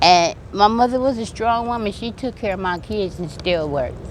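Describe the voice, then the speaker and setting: With an American accent, a woman speaks at medium pitch with lively intonation. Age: 50s. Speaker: recovering addict. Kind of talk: interview, life story. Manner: halting, with fillers and repeats.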